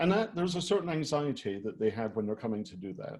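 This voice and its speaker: A man with a Scottish accent, a dark, mellow tone and lively intonation. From Scotland. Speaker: retail design executive. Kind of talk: presentation.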